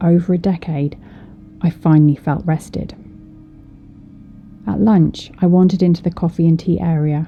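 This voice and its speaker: This woman's voice sits fairly low and her intonation stays fairly even. She talks at a moderate pace with music playing behind her. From British. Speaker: storyteller. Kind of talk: horror story narration.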